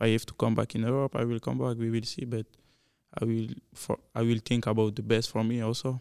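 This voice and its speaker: A man with a French accent speaks at a fairly quick pace in a medium pitch. His tone is dark and mellow, and his intonation stays monotone and flat. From Belgium. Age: 20s. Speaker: professional soccer player. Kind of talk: casual interview. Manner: halting, non-native English.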